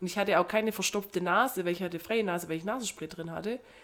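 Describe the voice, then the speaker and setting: A woman talks very fast in a medium pitch, with ordinary pitch variation. Noticeable background noise runs under her voice. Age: 30s. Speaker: podcast co-host. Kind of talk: casual chat.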